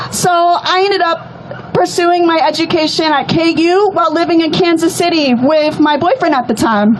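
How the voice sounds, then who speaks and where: A woman with an American accent talks at a moderate pace, her pitch extremely high and varying in an ordinary way. Her loudness stays very even, she hardly pauses, and noticeable background noise is present. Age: 20s. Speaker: rally speaker. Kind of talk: testimony.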